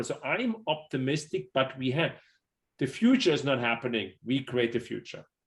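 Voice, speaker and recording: A man speaks with a German accent. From Germany. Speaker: city business development executive. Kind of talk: panel interview.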